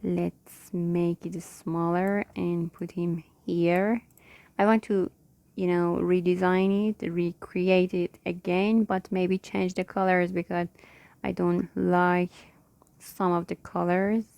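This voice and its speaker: A woman's very slow, monotone, flat delivery with a non-native accent, fairly low pitch and a dark, mellow tone, in a dry, close sound with no echo on a very clean recording with a silent background. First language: not English (English is third+ language). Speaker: digital illustrator, tutorial creator. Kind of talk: tutorial. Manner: halting, searching for words.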